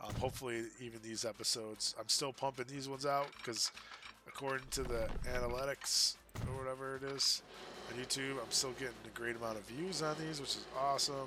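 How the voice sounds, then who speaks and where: A medium-pitched man at a fairly quick pace, his intonation fairly even, over noticeable background noise. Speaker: gaming streamer. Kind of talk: casual gameplay commentary. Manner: halting, many fillers. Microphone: no dedicated microphone, poor quality.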